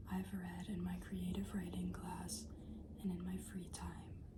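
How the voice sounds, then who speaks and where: Whispering and soft-spoken, a woman's voice sits among noticeable background noise. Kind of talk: casual talk to camera. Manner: whispered, soft-spoken.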